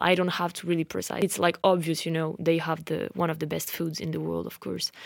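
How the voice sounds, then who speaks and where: Speaking fairly quickly, a woman with a French accent uses a fairly low pitch. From France. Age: 20s. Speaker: podcast host. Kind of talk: casual personal storytelling. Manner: rambling, many fillers.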